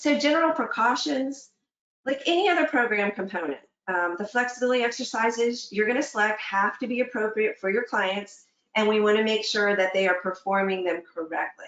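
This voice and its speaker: A woman's plain, everyday voice, medium in pitch, at a fairly quick pace. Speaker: fitness instructor. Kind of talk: webinar presentation. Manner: conversational, with fillers and self-corrections.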